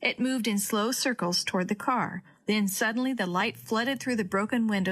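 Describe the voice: The text is read aloud plainly, with pitch that varies in an ordinary way.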